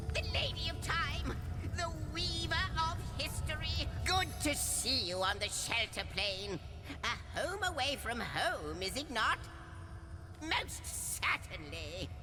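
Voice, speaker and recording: Against loud music in the background, a put-on character voice moves at a fairly slow pace with long, frequent pauses. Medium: game stream. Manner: wordy, theatrical, jokey.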